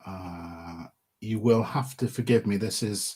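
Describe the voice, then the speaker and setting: Speaking with a Midlands accent, a man uses a medium pitch and ordinary pitch variation. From English Midlands. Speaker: podcaster and wargames miniature painter. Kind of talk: live stream Q&A chat. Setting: live stream. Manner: casual, with fillers.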